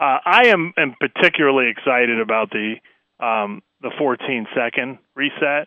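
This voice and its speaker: A man with an ordinary speaking voice in an American accent, medium pitch, ordinary pitch variation and a moderate pace. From central Pennsylvania. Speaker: basketball league communications executive. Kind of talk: radio interview. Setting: phone call.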